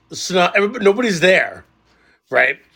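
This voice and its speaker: A man speaks in a bright, sharp tone. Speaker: podcast host. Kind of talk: casual banter, profane. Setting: video call. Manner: loud, profane, jokey.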